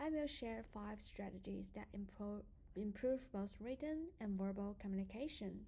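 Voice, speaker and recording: Somewhat breathy, a woman speaks at a moderate pace in a medium pitch with ordinary pitch variation. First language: not English. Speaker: student. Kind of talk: prepared presentation.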